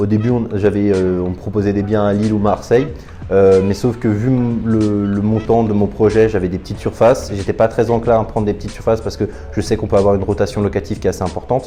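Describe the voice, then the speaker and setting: A man talks at a very fast pace in a fairly low voice with flat, monotone intonation. Music plays in the background. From France, Paris region (Val-de-Marne). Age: 20s. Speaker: property investor. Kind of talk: testimony. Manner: halting, with frequent hesitations.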